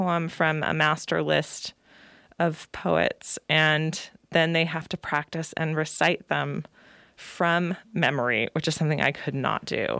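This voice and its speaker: A woman with an American accent and an unremarkable speaking voice, fairly low in pitch, at a fairly slow pace, in a very clean recording with a silent background and a dry, close sound with no echo. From California (Salinas). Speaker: poet and creative writing teacher. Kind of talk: interview.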